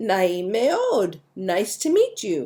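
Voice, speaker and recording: A female-sounding voice at medium pitch for a woman performs a put-on character voice. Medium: read story.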